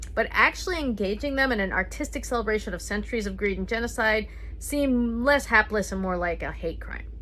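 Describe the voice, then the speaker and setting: Music plays in the background as a woman with an American accent talks at a very fast pace. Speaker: comedian, storyteller. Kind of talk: comedic personal storytelling.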